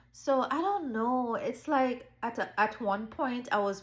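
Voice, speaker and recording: A woman with a Jamaican accent at a fairly slow pace. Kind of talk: personal testimony.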